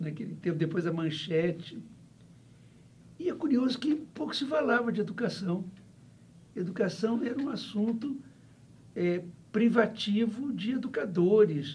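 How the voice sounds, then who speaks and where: Audible room echo follows a man speaking at a moderate pace with a high pitch and lively intonation. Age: 70s. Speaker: professor. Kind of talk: interview. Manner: halting, with many fillers.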